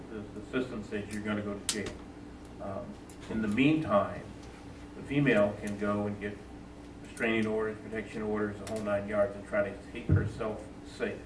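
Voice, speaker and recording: Amid noticeable background noise and audible room echo, a man of fairly low pitch talks at a fairly quick pace in a monotone, flat intonation, with long, frequent pauses. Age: 60s. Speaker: police trainer. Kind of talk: panel discussion. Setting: town hall meeting. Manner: loud.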